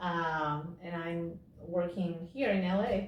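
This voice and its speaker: At a very slow pace, a woman speaks with fairly even intonation and a medium pitch. Noticeable background noise and audible room echo surround her. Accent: Spanish. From Peru. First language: Spanish. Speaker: actress. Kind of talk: interview.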